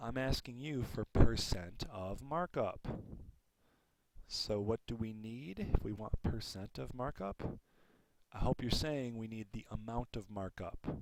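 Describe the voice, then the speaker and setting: The man has an unremarkable speaking voice with ordinary pitch variation, delivered at a fairly slow pace. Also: medium pitch for a man. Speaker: school math teacher. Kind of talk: tutorial.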